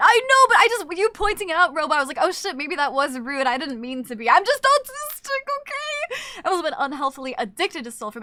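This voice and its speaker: Woman's raised, projected voice with very wide pitch swings and a bright, sharp tone. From Canada. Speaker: VTuber streamer. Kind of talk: casual livestream chat. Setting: livestream. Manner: fast.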